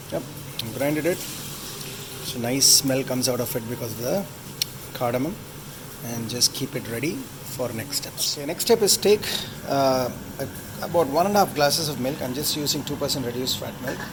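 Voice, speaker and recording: A man with a Tamil accent talks at a moderate pace and medium pitch, with ordinary pitch variation. He leaves long, frequent pauses over noticeable background noise. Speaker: home cook video host. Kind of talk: cooking tutorial. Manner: halting, many fillers; casual.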